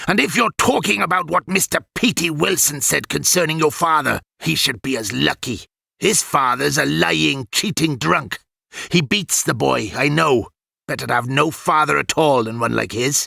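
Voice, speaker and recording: At a moderate pace, a man performs a put-on character voice at medium pitch. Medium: read story. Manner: pompous, scolding.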